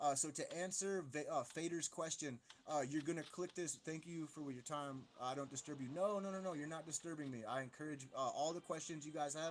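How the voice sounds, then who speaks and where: Fairly high in pitch, a man talks at a fairly quick pace with hardly any pauses. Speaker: gaming streamer. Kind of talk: live stream gameplay commentary. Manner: fast; animated.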